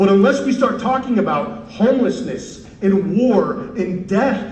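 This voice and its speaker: A man's high-pitched voice at a very slow pace, with ordinary pitch variation and noticeable background noise. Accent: American. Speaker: congressional candidate; former Marine. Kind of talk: political campaign speech. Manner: passionate, fiery, emphatic.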